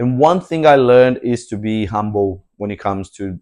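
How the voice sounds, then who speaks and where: Against a quiet background, a voice with a dark, mellow tone speaks with a Portuguese accent. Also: man. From Brazil. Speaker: English teacher. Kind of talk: classroom introduction. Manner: halting, with many repetitions.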